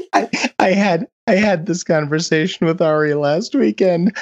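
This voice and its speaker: In an American accent, a man with a high voice speaks at a moderate pace with ordinary pitch variation. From Chicago. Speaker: podcast host. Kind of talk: casual chat.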